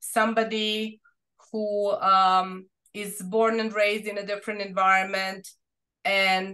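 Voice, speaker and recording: A woman's bright, sharp, medium-pitched voice, monotone and flat in intonation, at a fairly slow pace. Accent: Serbian. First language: Serbian. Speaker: researcher. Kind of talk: academic Q&A answer. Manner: halting.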